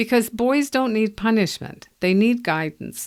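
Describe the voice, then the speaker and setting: A normal speaking voice at a moderate pace, with ordinary pitch variation, on a very clean recording with a silent background. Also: woman. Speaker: parenting coach and podcast host. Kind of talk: scripted intro and book promo read.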